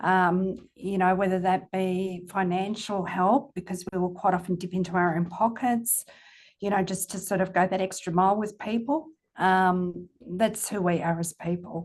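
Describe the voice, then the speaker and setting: A woman with an Australian accent speaks at a moderate pace. Her pitch is medium and her intonation fairly even. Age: 60s. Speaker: company CEO. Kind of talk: podcast interview. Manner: casual, hesitant with fillers.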